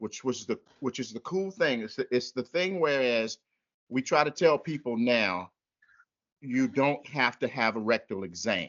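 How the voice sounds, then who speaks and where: This man has an unremarkable speaking voice, an American accent, a medium pitch and lively intonation. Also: moderate pace. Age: 60s. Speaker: prostate cancer patient. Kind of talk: testimony.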